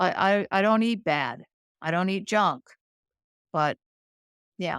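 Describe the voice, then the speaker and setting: With an American accent, a woman talks fairly slowly at a medium pitch with lively intonation, in a very clean recording with a silent background and a dry, close sound with no echo. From Boston, Massachusetts. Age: 50s. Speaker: lab technician. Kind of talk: interview.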